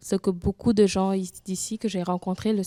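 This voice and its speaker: With a Senegalese accent, a woman speaks at a moderate pace and medium pitch with fairly even intonation, in a dry, close sound with no echo. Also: very clean recording, silent background. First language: Wolof (speaking French). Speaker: immigrant woman sharing her experience. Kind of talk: testimony in a panel discussion. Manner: halting, with many restarts.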